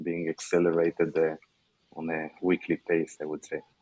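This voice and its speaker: A man's very deep, low voice, flat and monotone, at a moderate pace. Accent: Israeli. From Israel. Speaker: tech startup founder. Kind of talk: panel discussion. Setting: online panel.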